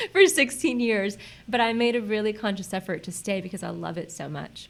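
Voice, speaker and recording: Her voice at medium pitch, a woman speaks at a fairly quick pace with lively intonation and vocal fry. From Central Florida, born in Puerto Rico. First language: Spanish. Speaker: chamber of commerce president. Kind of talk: podcast interview.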